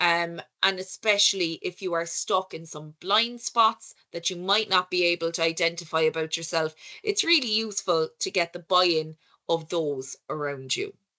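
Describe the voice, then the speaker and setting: With an Irish accent, a woman talks at a moderate pace. Her voice is fairly low, with ordinary pitch variation. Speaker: conference speaker on research leadership. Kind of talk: lecture. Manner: conversational, with filler words.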